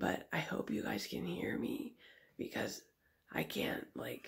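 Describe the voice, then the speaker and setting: A woman whispers at a fairly slow pace. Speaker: nail artist vlogger. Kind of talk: casual vlog. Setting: home at night, family asleep. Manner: quiet, conserving voice.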